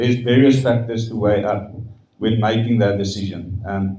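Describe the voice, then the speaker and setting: In a room with audible echo, a somewhat breathy man speaks at medium pitch and a moderate pace. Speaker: stadium management spokesperson. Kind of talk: press conference Q&A. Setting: press conference.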